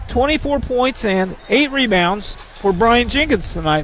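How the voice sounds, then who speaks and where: There is noticeable background noise as a man speaks at an extremely high pitch. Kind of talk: sports commentary, analysis between plays. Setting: courtside in a high school gym. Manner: conversational, measured, stat-filled.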